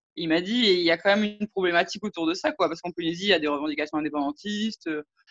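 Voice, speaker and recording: A woman speaks in a medium pitch with ordinary pitch variation. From French Polynesia. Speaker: interviewee, law graduate. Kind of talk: interview testimony. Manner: hesitant, many fillers.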